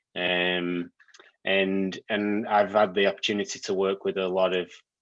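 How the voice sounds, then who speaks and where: A man with a British accent speaks in a very deep, low pitch and a flat monotone. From UK. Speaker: technology executive. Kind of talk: guest lecture. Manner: hesitant, many fillers and repeats.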